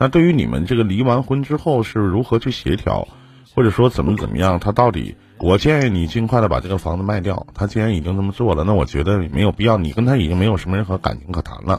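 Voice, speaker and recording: A man talks very quickly in a somewhat breathy voice. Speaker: live-stream relationship advice host. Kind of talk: advice call-in conversation. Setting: live stream video call. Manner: lively, joking, direct.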